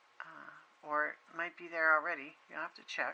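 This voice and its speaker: Noticeable background noise is present. Over it, a woman talks with an American accent. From Massachusetts, US. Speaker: craft video creator. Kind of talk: product flip-through tutorial. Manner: slow; halting, many fillers.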